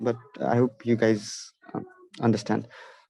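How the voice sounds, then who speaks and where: A man with a Nepali accent, dark and mellow in tone, at a fairly slow pace, in a dry, close sound with no echo. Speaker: math olympiad instructor. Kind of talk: online lecture. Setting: online video session, camera off. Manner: halting, many fillers.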